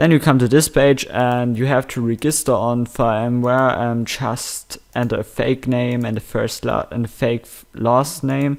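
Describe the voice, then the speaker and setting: With hardly any pauses and fairly even intonation, a man speaks on a very clean recording with a silent background. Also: medium pitch for a man, fairly slow pace, big swings in loudness. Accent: German. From Germany. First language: German. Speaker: gaming tutorial youtuber. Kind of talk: screen-recorded tutorial. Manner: halting, many fillers.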